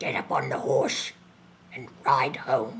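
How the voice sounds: This man uses a put-on character voice with a husky, rough edge and a fairly bright tone at medium pitch. He talks at a slow pace with fairly even intonation.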